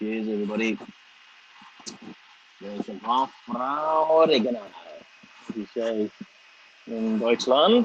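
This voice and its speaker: A man's medium-pitched voice at a fairly slow pace, with ordinary pitch variation, long and frequent pauses, big swings in loudness, and noticeable background noise. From Liverpool, England. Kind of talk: casual live stream chat. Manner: casual, profane.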